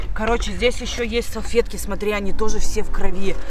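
At a moderate pace, a woman speaks with a dry sound and no echo against noticeable background noise. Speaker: video blogger. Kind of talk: casual unboxing vlog chat. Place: tent. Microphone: phone near.

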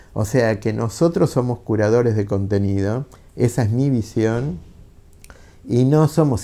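Ordinary pitch variation and a dark, mellow tone mark this voice, which moves at a moderate pace. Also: man. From Argentina. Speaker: book publisher. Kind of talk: interview monologue; interview answer. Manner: halting, with filler words. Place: office. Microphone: lapel.

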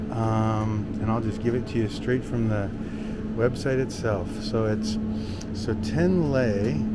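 A man speaks with ordinary pitch variation. Loud background noise surrounds him. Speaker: travel vlogger. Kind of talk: casual vlog chat. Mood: cheerful, playful. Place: shop. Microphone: phone near.

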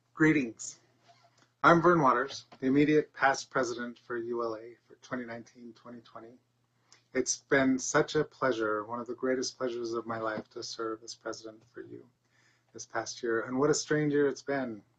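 A man speaks with fairly even intonation while his loudness swings widely. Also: moderate pace. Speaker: conference organizer introducing speaker; conference speaker. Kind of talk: event introduction. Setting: virtual video call. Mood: warm, reflective. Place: home room. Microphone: camera far.

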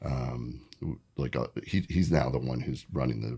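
A man with an American accent speaks at a moderate pace in a very deep, low voice with vocal fry and ordinary pitch variation. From US Pacific Northwest, Vancouver, Washington. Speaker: splitboarder and avalanche instructor. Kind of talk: casual interview. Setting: studio.

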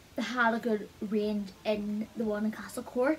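Light background noise beneath a woman's voice. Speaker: beauty vlogger. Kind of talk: product review chat. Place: home room. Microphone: phone near.

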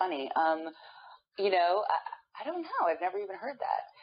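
In an American accent, a woman speaks. Her pace is moderate. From New York. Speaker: voiceover actress. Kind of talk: interview.

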